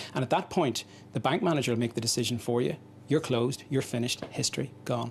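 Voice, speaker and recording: A man's somewhat breathy voice at a very fast pace. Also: medium pitch for a man, ordinary pitch variation. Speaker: pharmacist. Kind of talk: interview.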